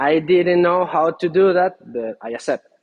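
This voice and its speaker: A man with a Spanish accent and lively intonation. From Venezuela. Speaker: furniture maker. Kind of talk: interview. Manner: halting.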